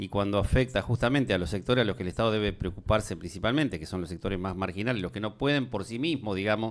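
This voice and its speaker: Speaking very fast with hardly any pauses, a man with a Rioplatense accent shows ordinary pitch variation on a very clean recording with a silent background. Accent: Argentine Spanish (rioplatense). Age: 60s. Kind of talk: casual discussion. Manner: hesitant with filler words.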